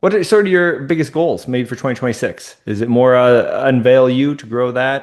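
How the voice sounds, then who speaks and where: An ordinary speaking voice from a man at medium pitch, with an American accent and lively intonation. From Minnesota. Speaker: podcast host. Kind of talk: interview.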